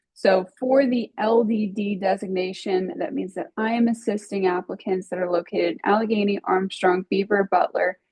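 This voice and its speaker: A woman's somewhat breathy voice at a medium pitch, moderate pace and fairly even intonation, with hardly any pauses. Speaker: regional planning grant coordinator. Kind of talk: webinar presentation.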